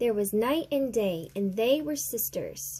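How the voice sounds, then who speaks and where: A woman performs a put-on character voice at a medium pitch. She delivers it at a fairly slow pace. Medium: read story.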